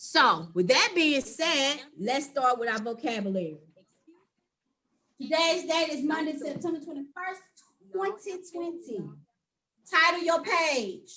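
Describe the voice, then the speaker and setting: A high-pitched woman at a fairly slow pace, with lively intonation and long, frequent pauses. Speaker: teacher. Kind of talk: online class lesson. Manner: firm, not soft-spoken.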